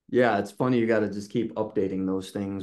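A man talks at a fairly quick pace with a fairly low pitch. His tone is dark and mellow over a quiet background. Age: 30s. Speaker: illustrator. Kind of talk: casual chat. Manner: talkative. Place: home room.

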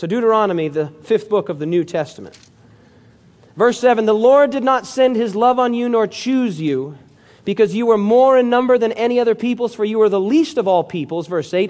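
In a high voice, a man delivers his words at a fairly quick pace. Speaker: pastor. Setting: church meeting hall with live audience. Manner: earnest, prayerful and reverent when addressing God.

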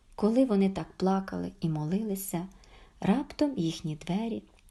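Lively intonation in a natural reading voice

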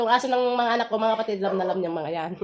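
Music plays in the background. Over it, a woman talks at a fairly high pitch. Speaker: food vlogger. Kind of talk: mukbang vlog talk. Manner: halting.

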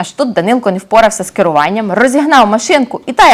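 A natural reading voice carried by lively intonation.

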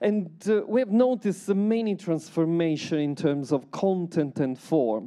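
Against a quiet background, a man with an Italian accent talks at a fairly slow pace. His tone is dark and mellow, with lively intonation. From Italy. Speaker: researcher and artist; invited lecturer. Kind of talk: lecture. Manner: halting. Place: hall. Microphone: handheld.

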